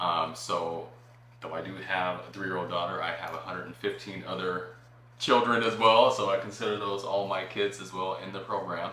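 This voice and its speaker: Speaking with a General American accent, a man with a fairly low voice keeps fairly even intonation at a moderate pace, with big swings in loudness and audible room echo. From Phoenix, Arizona. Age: 40s. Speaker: entrepreneur and after-school arts program director. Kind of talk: podcast interview.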